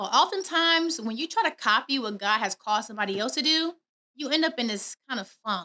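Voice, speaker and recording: A woman speaks in a raised, projected, high-pitched voice with very wide pitch swings and an animated, bright, sharp tone. The recording is very clean with a silent background, dry and close with no echo. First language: not English. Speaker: podcast host. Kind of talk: motivational podcast monologue. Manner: fast.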